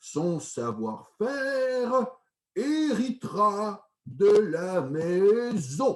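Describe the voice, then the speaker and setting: A man's put-on character voice, very slow, with very wide swings in pitch. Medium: read story.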